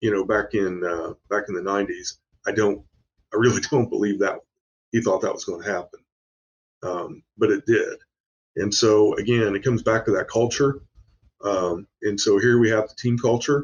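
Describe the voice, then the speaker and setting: A somewhat breathy man with an American accent, at a moderate pace with long, frequent pauses. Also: medium pitch for a man, fairly even intonation. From Indiana, US Midwest. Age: 60s. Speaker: business owner. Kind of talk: podcast interview. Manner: halting.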